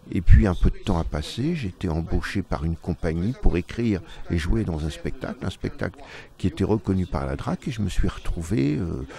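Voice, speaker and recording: A man speaks at a very deep, low pitch with vocal fry. His intonation is lively and his pace moderate. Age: 60s. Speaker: stage actor. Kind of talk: interview. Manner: halting.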